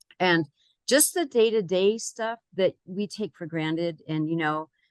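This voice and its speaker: In a plain, everyday voice, a woman speaks at a fairly slow pace with a fairly low pitch and ordinary pitch variation, recorded with a dry, close sound with no echo against a quiet background. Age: 60s. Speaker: client sharing health success story. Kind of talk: interview testimony.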